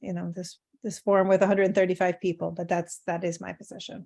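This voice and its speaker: At a very fast pace, a woman speaks in a medium pitch with monotone, flat intonation. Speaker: service provider stakeholder. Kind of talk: virtual public forum debate.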